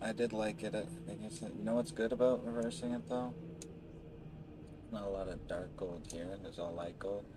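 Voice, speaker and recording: A soft-spoken man with a fairly low pitch talks at a fairly quick pace with lively intonation, yet leaves long, frequent pauses. Noticeable background noise and audible room echo come through. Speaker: gaming streamer. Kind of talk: casual gameplay commentary.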